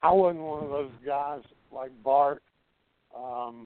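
Here a man has a plain, everyday voice. He speaks fairly slowly at medium pitch. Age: 60s. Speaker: retired pro wrestler. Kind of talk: casual interview.

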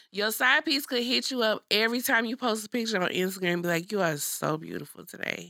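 A woman talks at a very fast pace with hardly any pauses, her fairly high, bright and sharp voice carrying vocal fry and lively intonation. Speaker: podcast co-host. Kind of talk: casual chat.

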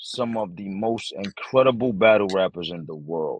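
A man with an American accent, medium pitch and lively intonation, in a dry, close sound with no echo. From Bronx, New York City. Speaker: battle rapper. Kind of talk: casual interview chat.

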